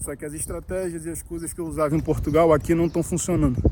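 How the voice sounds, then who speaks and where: Noticeable background noise runs throughout as a man speaks at a moderate pace. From Brazil, Rio de Janeiro. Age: 30s. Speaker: vlogger, small business owner. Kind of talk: casual vlog talk to camera. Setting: outdoors at the beach. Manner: slightly halting, nervous first video.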